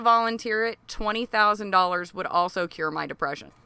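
A woman with an American accent speaks at a fairly slow pace. Her tone is bright and sharp. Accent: can switch into a strong Southern US. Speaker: comedy podcast co-host. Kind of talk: casual comedic banter. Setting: outdoors on a porch. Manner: profane.

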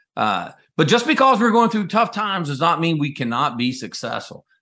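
Over a quiet background, a man with an American accent talks at a fairly quick pace in a bright, sharp tone. His pitch is fairly high with very wide swings, and there is vocal fry. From US South, North Carolina. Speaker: company CEO, Navy veteran. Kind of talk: interview.

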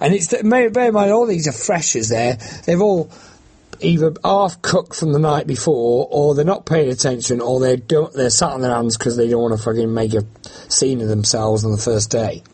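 Somewhat breathy, the voice moves at a moderate pace with lively intonation and very even loudness. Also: man, medium pitch for a man. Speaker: campaigner against bill payment. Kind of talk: interview.

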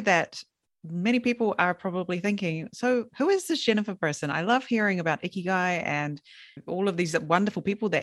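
With an English accent, the voice moves at a fairly quick pace with very wide pitch swings in a dry, close sound with no echo. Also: woman. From England. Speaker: podcast manager and interviewer. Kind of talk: casual interview.

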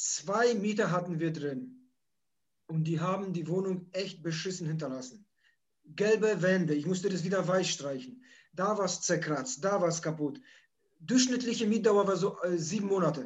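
A man with a Polish accent speaks in a high voice at a moderate pace, with ordinary pitch variation, long and frequent pauses, and audible room echo. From Poland, moved to Germany at age nine. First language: Polish (speaking German). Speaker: holiday rental landlord and YouTuber. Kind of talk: interview.

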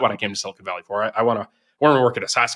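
The voice carries an American accent and a bright, sharp tone. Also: man. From US East Coast. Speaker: tech startup founder. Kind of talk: interview conversation.

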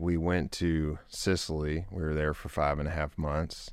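A man speaks at a fairly slow pace with a Texan accent, his pitch very deep and low. His intonation stays monotone and flat, and the recording is very clean with a silent background. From East Texas, Longview. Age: 30s. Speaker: oil and gas entrepreneur. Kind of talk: interview.

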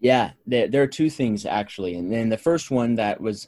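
A plain, everyday voice from a man with an American accent, at a moderate pace and medium pitch. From California. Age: 20s. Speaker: strength and conditioning coach. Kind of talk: casual chat.

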